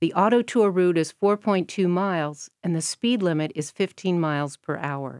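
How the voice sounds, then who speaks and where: With lively intonation, a woman uses an ordinary speaking voice at a medium pitch, the sound dry and close with no echo. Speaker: tour guide. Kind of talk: scripted narration, audio tour guide. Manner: friendly, lightly playful, informative.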